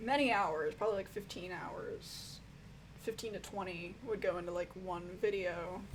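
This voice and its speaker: The room's echo is plainly audible. The speaker is a woman. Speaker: music reviewer YouTuber. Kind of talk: live stream Q&A, casual chat. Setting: live stream. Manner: casual, lots of fillers.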